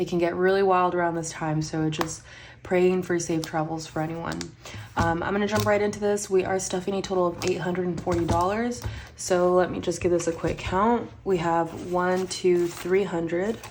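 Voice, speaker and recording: A woman's fairly low-pitched voice with fairly even intonation and audible room echo. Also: moderate pace. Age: 30s. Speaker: budgeting vlogger. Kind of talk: casual vlog chat. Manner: counting money aloud, rhythmic.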